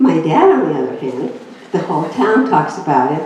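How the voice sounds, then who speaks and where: Audible room echo and noticeable background noise accompany a woman's voice at a moderate pace. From Greece. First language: Greek. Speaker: inspirational speaker. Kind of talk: inspirational talk.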